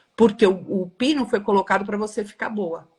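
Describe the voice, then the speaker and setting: Somewhat breathy, a woman speaks fairly quickly at a fairly high pitch with ordinary pitch variation. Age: 60s. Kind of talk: live stream discussion. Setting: live video stream.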